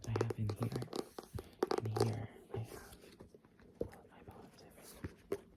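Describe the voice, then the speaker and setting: Whispering in a gentle tone at a moderate pace, with long, frequent pauses and noticeable background noise. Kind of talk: casual chatty talk to the listener between poems. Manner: soft-spoken, gentle, whispery.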